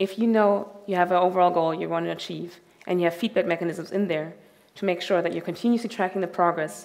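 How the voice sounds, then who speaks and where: A woman speaks at a very fast pace with a fairly low pitch. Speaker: conference speaker. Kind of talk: talk to an audience. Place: stage. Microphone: headset.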